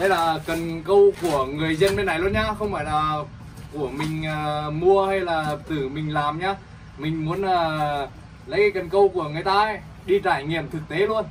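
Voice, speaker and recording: A man with a high pitch speaks fairly slowly, with long, frequent pauses. His pitch variation is ordinary, and light background noise can be heard. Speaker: vlogger. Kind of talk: casual vlog chat. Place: home room. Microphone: phone near.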